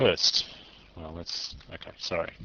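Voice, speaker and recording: A man speaks at a moderate pace. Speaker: programming tutor. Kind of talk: tutorial.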